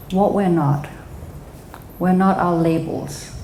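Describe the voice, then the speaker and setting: Speaking fairly slowly with a Danish accent, a woman keeps a fairly even intonation at a fairly low pitch, with noticeable background noise and audible room echo. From Denmark. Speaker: psychotherapist and speaker. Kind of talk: talk at a live event.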